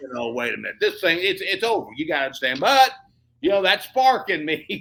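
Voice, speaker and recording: A man speaks at a fairly quick pace with an American accent and a high pitch. His tone is bright and sharp, and his pitch swings very widely. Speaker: pastor, evangelist, author, radio and television personality. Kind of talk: interview answer, personal testimony. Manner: enthusiastic, charismatic, conversational.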